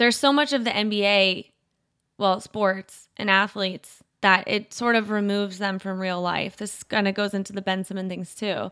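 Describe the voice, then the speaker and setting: A woman's normal speaking voice with an American accent, medium pitch, fairly even intonation and moderate pace, in a very clean recording with a silent background. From US Midwest, rural Indiana and Kentucky. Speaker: sports podcast host and writer. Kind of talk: casual chat.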